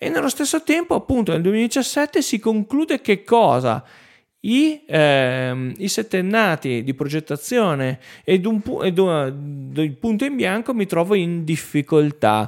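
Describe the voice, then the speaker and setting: In a very clean recording with a silent background, a man with a high voice speaks at a very slow pace with very wide pitch swings. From northern Italy, Piedmont (Lake Orta area). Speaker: marketing agency owner and teacher. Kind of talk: solo podcast monologue. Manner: hesitant, frequent filler sounds.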